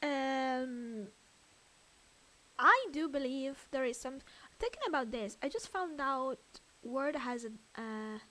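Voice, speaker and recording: In an Italian accent, a woman projects a raised, high voice at a very slow pace with ordinary pitch variation. She leaves long, frequent pauses. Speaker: streamer. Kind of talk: casual chat. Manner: loud.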